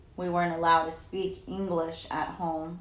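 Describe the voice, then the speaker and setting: A woman is speaking in a room with audible echo. Noticeable background noise is present. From Southern California. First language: Spanish. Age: 40s. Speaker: interviewee, mother of interviewer. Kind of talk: oral history interview. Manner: hesitant, filler words.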